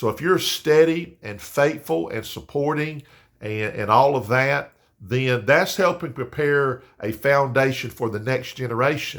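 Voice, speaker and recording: Recorded very cleanly against a silent background, a man speaks slowly-ish at a fairly slow pace and medium pitch. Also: ordinary pitch variation. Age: 60s. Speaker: pastor. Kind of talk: devotional talk. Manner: halting, many fillers and repeats.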